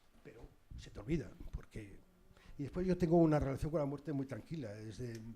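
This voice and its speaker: A man speaks at a fairly quick pace. His voice has vocal fry. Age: 60s. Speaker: journalist, former war correspondent. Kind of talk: public talk with audience.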